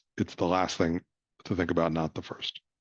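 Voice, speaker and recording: A man's very deep, low voice in a monotone, flat delivery at a very fast pace, dry and close with no echo against a quiet background. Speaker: nonprofit communications trainer. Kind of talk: presentation workshop. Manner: hesitant, many fillers.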